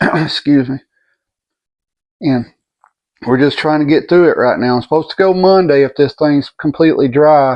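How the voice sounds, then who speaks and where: A man speaks with a Southern US accent at a moderate pace. His intonation is fairly even. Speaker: vlogger recovering from surgery. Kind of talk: personal video update. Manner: halting.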